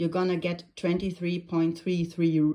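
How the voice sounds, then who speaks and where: A woman speaks at a fairly low pitch with a dark, mellow tone. The recording is very clean, with a silent background. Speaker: crafter. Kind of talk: tutorial. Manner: hesitant, many fillers.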